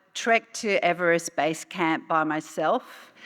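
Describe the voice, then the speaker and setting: The voice has a bright, sharp tone and an Australian accent. It moves at a very slow pace with ordinary pitch variation. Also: woman. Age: 60s. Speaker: UN official. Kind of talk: keynote speech. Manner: hesitant with frequent fillers.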